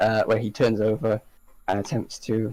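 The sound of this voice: The speaker uses an unforced reading voice. The lines are read out plainly.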